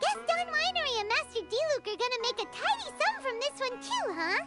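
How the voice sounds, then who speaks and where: A put-on character voice, squeaky and extremely high in pitch, moves at a fairly quick pace. Clear music plays in the background. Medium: game stream. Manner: excitable, blunt.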